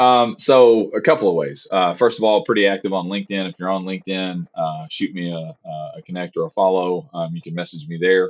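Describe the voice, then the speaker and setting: In a Southern US accent, a man with a very deep, low voice talks at a fairly quick pace with hardly any pauses, lively intonation and big swings in loudness. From US South. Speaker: cyber insurance specialist. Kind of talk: podcast interview. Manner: animated, talkative.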